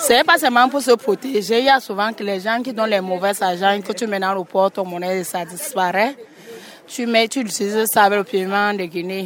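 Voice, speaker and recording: With noticeable background noise behind her, a woman speaks at a medium pitch with ordinary pitch variation. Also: moderate pace. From western Cameroon, Bamileke. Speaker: spice vendor. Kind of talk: vox pop.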